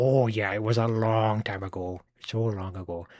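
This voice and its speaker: Putting on a character voice, a man sounds gruff and raspy at a fairly low pitch, speaking at a moderate pace with fairly even intonation. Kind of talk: YouTube style.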